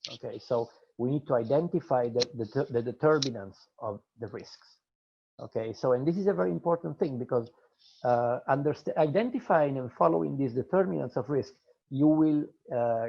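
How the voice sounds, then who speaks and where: The intonation is lively. The pace is moderate. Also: man, medium pitch for a man. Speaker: business strategy webinar presenter. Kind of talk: lecture. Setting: video call. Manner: halting, many fillers and repetitions.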